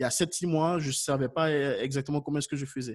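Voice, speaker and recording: A somewhat breathy voice belongs to a man. He speaks at a very fast pace. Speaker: YouTube consultant for businesses. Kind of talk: webinar Q&A. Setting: online webinar. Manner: animated.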